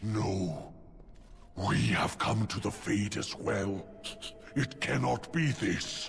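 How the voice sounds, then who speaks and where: In a growling, put-on character voice at a fairly low pitch, a man talks at a very slow pace with long, frequent pauses amid clear background noise. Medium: video game. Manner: stilted, odd grammar with "-ing" forms.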